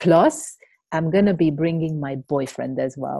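In a Hungarian accent, a woman speaks at a fairly slow pace. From Hungary. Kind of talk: casual interview. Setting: video call.

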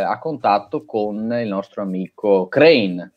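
Very slow speech from a man at medium pitch, with lively intonation. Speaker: podcast co-host discussing films. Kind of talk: casual chat about films.

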